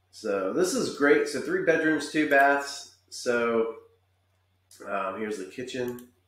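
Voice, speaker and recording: Speaking at a very slow pace, a man with a fairly high pitch and lively intonation is heard over audible room echo. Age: 40s. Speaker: real estate agent. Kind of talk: virtual home tour narration. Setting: screen-share video. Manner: casual and chatty. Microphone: webcam.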